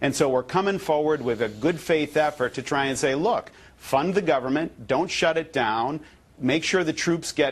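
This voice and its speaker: A plain, everyday voice with an American accent moves at a moderate pace, showing ordinary pitch variation over a quiet background. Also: man, fairly high pitch for a man. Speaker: US congressman being interviewed on a TV news show. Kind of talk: TV news interview answer. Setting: remote video link.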